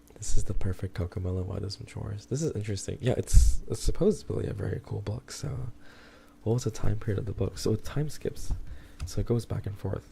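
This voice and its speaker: A man's fairly low, dark, mellow voice with vocal fry, a fairly quick pace and big swings in loudness. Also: ordinary pitch variation. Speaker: streamer. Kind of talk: casual talk to stream chat.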